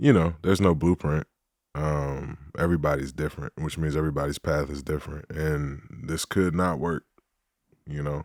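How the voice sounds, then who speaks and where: A man with a very deep, low voice and an American accent speaks in a flat monotone. The recording is very clean, with a silent background and a dry, close sound free of echo. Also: moderate pace. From US Midwest, Detroit. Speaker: former NFL player. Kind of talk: casual chat.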